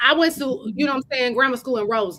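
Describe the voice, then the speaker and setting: A woman with an American accent speaks in a raised, projected voice, her high pitch carrying a bright, sharp, animated tone with ordinary pitch variation. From Chicago, South Side. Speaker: podcast co-host with a doctorate. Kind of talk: casual chat.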